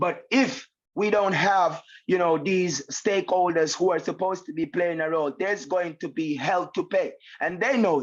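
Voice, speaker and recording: Here a man speaks with a Jamaican accent and a high pitch. His pace is moderate and his pitch variation ordinary. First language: Jamaican patois. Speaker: reggae artist. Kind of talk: interview.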